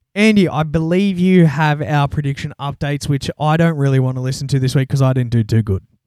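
Hardly pausing, a man with an Australian accent talks at a very fast pace with fairly high pitch and ordinary pitch variation, in a dry, close sound with no echo. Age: 20s. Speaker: podcast host. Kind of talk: casual chat.

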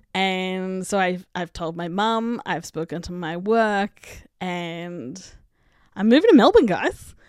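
A woman with an Australian accent, very slow, with big swings in loudness, in a very clean recording with a silent background. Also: medium pitch for a woman, ordinary pitch variation. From Australia, country Victoria and Canberra. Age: 30s. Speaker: podcast host. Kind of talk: casual monologue. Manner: animated.

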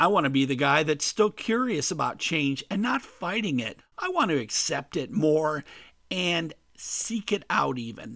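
The voice has a bright, sharp tone, very wide pitch swings and an American accent. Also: man. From US Midwest (Ohio). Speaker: podcast host. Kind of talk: scripted monologue.

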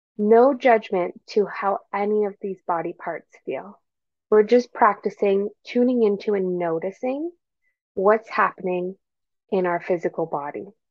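A woman speaks in a plain, everyday voice at medium pitch. Her pace is fairly slow, with ordinary pitch variation. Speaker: meditation guide. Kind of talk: guided meditation. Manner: slow, calm, soothing; gentle, unhurried, with long pauses.

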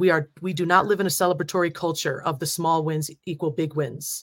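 A woman with an American accent speaks at a moderate pace in an ordinary speaking voice. Her pitch sits fairly low, and the recording is very clean with a silent background. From New Jersey, US. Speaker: facilitator and strategist. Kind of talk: casual interview.

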